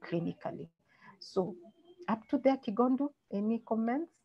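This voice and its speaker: Somewhat breathy woman's voice with lively intonation. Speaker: doctor giving a medical webinar talk. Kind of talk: lecture. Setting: online webinar. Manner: fast.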